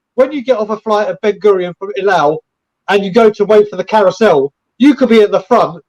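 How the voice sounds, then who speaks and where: Dry, close sound with no echo carries a man's high-pitched voice. He talks at a fairly quick pace with an English accent. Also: ordinary pitch variation. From England. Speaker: football fan channel creator. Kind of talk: casual chat.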